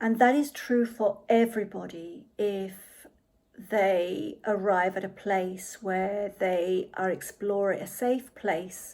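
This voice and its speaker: In a very clean recording with a silent background, a woman speaks with a British accent. Her medium-pitched voice has ordinary pitch variation. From England, arrived from Chile at 7. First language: Spanish. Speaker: podcast host. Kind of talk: monologue on personal identity. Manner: halting, many fillers and repeats.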